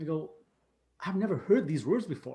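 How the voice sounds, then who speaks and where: A man's somewhat breathy, dark and mellow voice with very wide pitch swings, at a moderate pace. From Canada. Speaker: coach and speaker. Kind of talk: talk to online group session.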